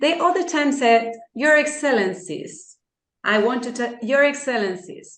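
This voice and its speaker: Speaking in an Argentine accent, a woman uses a high pitch and lively intonation at a fairly slow pace. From Argentina. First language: Spanish. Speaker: law lecturer and arbitrator. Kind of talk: lecture. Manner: halting.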